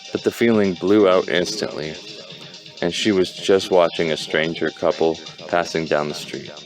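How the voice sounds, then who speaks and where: Over music in the background, a man talks in a very deep, low pitch. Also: ordinary pitch variation, moderate pace. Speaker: amateur reader. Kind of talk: audiobook reading. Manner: halting, stumbling.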